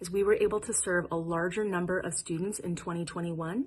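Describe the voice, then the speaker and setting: A woman's fairly low-pitched voice at a fairly quick pace, an unremarkable speaking voice. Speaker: nonprofit executive director. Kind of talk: gala welcome speech.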